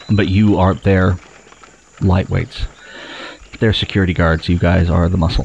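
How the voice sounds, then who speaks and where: A man speaks with a very deep, low pitch at a moderate pace, leaving long, frequent pauses. His intonation is monotone and flat, his loudness very even, and noticeable background noise runs underneath. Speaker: game master running the tabletop role-playing game. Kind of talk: tabletop RPG session, casual banter and narration.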